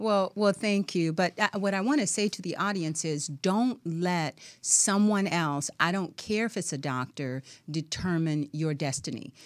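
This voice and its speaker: In a normal speaking voice, a woman talks at a fairly slow pace with a fairly low pitch and lively intonation. The recording is very clean, with a silent background. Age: 60s. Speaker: professor, author and wellness expert. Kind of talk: radio interview. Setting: studio.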